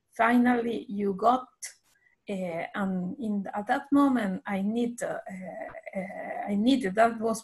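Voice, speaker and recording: A woman speaks at a very slow pace with lively intonation. Her fairly high voice is somewhat breathy. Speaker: meeting participant. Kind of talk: group discussion. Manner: halting.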